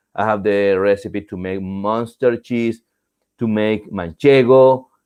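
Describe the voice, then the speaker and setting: A man with a Latin American accent, fairly low pitch and ordinary pitch variation. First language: Spanish. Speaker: cheese making instructor. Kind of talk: Q&A tutorial show. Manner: hesitant, many fillers and restarts.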